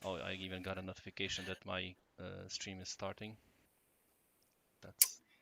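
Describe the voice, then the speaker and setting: A man speaks quietly at a moderate pace in a very deep, low voice. His intonation is monotone and flat, with long, frequent pauses. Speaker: software developer presenting a release. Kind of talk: live stream chat. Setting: home live stream. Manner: quiet, lowered voice.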